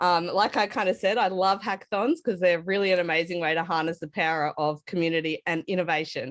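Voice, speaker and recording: A woman speaks at a medium pitch with an Australian accent. She talks very fast over a quiet background. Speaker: tech speaker at hackathon. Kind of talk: online conference talk.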